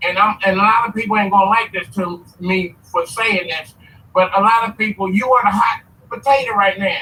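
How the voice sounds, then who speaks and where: A man's raised, projected voice is high in pitch. Noticeable background noise can be heard. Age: 60s. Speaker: caller on a live stream. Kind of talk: casual chat.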